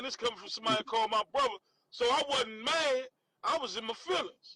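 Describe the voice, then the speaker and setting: Raising and projecting his extremely high-pitched voice, a man with a Southern accent talks at a fairly quick pace in a dry, close sound with no echo. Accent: Southern-sounding, country. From Washington, D.C. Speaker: former prisoner. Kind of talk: casual interview chat.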